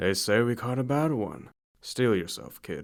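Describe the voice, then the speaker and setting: Putting on a gravelly character voice, a man speaks at medium pitch. He keeps a moderate pace and ordinary pitch variation. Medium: read story. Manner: gruff, clipped.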